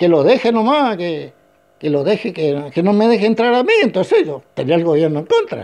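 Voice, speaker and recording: The voice has a dark, mellow tone and lively intonation, moving at a moderate pace over a quiet background. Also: man. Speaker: retired politician, former mayor. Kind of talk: interview.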